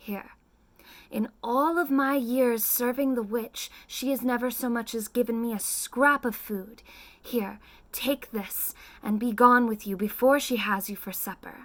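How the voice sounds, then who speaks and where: A woman's cackling, put-on character voice, high in pitch, at a fairly slow pace. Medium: read story.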